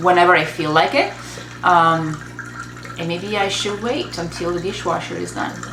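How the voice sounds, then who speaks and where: In an Italian accent, a woman speaks at a fairly slow pace and a fairly low pitch, with noticeable background noise and audible room echo. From Italy, Treviso. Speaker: business coach. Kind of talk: casual vlog monologue. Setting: home studio. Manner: pauses between words and sentences.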